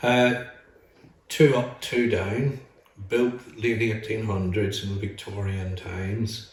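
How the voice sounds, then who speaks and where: Very slowly and with fairly even intonation, a man with a Northern Irish accent speaks at a fairly low pitch amid audible room echo. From Northern Ireland, Lurgan, County Armagh. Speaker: retired teacher. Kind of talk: interview.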